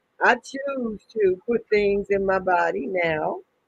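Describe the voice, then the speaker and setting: In a dry, close sound with no echo, a man speaks very slowly. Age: 70s. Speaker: herbalist. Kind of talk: interview.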